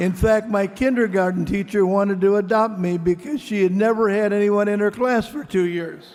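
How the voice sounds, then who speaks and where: A high-pitched man with a Midwestern accent talks at a moderate pace with hardly any pauses. His intonation is fairly even, and there is noticeable background noise. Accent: American Midwest. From US Midwest, Mason City, Iowa. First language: Greek. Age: 80s+. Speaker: venture capitalist. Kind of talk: award acceptance speech.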